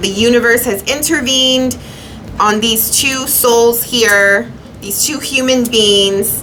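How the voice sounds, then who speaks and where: Very slow speech from a woman with a fairly high pitch and fairly even intonation, with audible room echo and noticeable background noise. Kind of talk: tarot reading monologue. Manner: halting.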